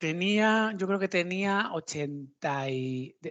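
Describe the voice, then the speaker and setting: The background stays quiet. A man's intonation is lively. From Spain. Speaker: interviewer. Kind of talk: casual interview.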